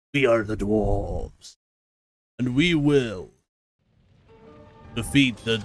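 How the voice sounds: A man speaks in a put-on character voice at a very slow pace, with long, frequent pauses. Faint music plays in the background. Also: medium pitch for a man.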